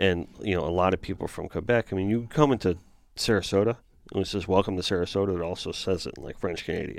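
An American-accented man talks very fast with a very deep, low pitch and ordinary pitch variation. The recording is very clean, with a silent background. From South Florida. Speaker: fish artist and podcast host. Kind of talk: casual chat. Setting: studio.

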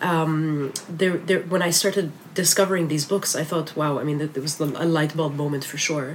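A woman with a very deep, low pitch talks with fairly even intonation and hardly any pauses over noticeable background noise. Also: moderate pace. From Lebanon. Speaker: magazine editor. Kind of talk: interview.

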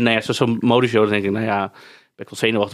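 A man speaks at a very fast pace, captured on a very clean recording with a silent background. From Netherlands, Amsterdam. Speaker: podcast host and influencer. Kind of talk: casual chat. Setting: studio.

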